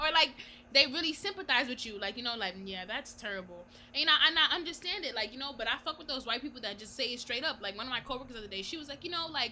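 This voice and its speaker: At a very fast pace, a woman with a high pitch uses a raised, projected voice, lively intonation and big swings in loudness. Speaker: podcast co-host. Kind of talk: casual chat. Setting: virtual call.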